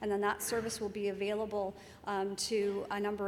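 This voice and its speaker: A woman talks at a fairly quick pace and a medium pitch. Her intonation is monotone and flat, and there is audible room echo. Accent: Canadian. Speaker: senior public servant, keynote speaker. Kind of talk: conference Q&A answer.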